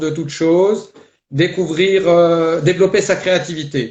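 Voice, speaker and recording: A man's high-pitched voice, fairly even in intonation, at a very slow pace. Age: 60s. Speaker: life coach. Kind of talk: testimony. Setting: live video stream. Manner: hesitant, many fillers.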